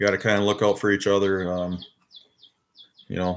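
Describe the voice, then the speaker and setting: In an Upper Midwest US accent, a man talks at a fairly low pitch. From Wisconsin. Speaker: YouTuber, toy collector live streamer. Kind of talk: casual live stream chat. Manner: monotone.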